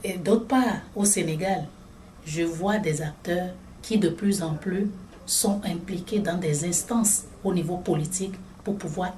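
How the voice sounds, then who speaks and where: At a very slow pace with long, frequent pauses, a woman speaks in a fairly even intonation. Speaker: regional director of an NGO in Africa. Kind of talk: interview answer.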